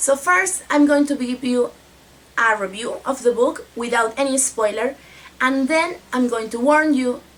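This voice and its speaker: A woman with a high voice speaks at a fairly slow pace with a Spanish accent and ordinary pitch variation. Noticeable background noise runs under her speech. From Mexico. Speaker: book vlogger. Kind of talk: casual book review vlog.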